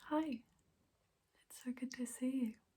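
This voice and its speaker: A soft-spoken woman with a high-pitched voice, a gentle yet dark, mellow tone and fairly even intonation. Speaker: ASMR creator playing an alternative therapist. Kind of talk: ASMR role-play, personal attention. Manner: soft-spoken, gentle. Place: home room. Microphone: phone near.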